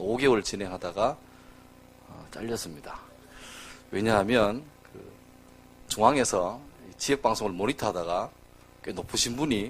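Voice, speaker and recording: Speaking at a moderate pace in a strong Gyeongsang accent, the voice has lively intonation, big swings in loudness, and long, frequent pauses. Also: man. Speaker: pastor. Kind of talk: sermon. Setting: church. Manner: casual, humorous storytelling with fillers.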